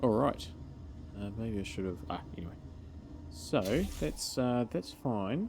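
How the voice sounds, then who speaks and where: A man's very slow, mumbling speech at a fairly low pitch, with lively intonation and long, frequent pauses. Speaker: gaming video creator. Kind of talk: gameplay commentary. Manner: casual thinking aloud.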